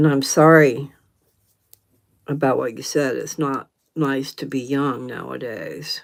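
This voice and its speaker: Very deep and low in pitch, a woman with a Southern US accent speaks fairly slowly with fairly even intonation and long, frequent pauses on a very clean recording with a silent background. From US South, North Carolina. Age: 70s. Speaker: livestream host. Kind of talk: casual chat. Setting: live stream.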